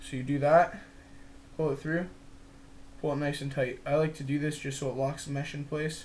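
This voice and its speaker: Somewhat breathy and fairly high-pitched, a man speaks in a monotone, flat intonation with long, frequent pauses and audible room echo. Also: moderate pace. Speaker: lacrosse stick stringing tutorial maker. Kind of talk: tutorial. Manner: casual, informal.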